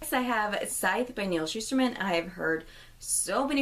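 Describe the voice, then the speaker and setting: A woman speaks at a moderate pace with ordinary pitch variation. Hers is a plain, everyday voice. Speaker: book vlogger. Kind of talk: casual vlog.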